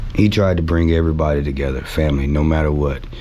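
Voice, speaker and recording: A man with a very deep, low pitch speaks in an American accent. Noticeable background noise and audible room echo are present. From Texas, Richardson. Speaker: sports superfan. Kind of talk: podcast interview. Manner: loud; animated.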